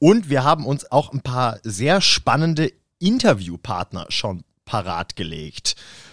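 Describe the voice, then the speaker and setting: The voice moves at a very slow pace, with vocal fry and very wide pitch swings. The recording is very clean and dry, close with no echo and a silent background. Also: man, medium pitch for a man. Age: 30s. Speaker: podcast co-host, drummer and photographer. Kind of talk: casual chat. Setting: rehearsal room.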